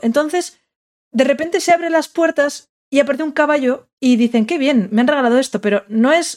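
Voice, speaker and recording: Speaking at a moderate pace, a woman is heard on a very clean recording with a silent background. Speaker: podcast host. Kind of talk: casual chat.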